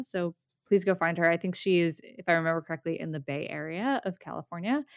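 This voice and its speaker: With a plain, everyday voice, a woman of fairly low pitch talks at a fairly quick pace in a very clean recording with a silent background and a dry, close sound without echo. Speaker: podcast host. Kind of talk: casual conversational podcast chat.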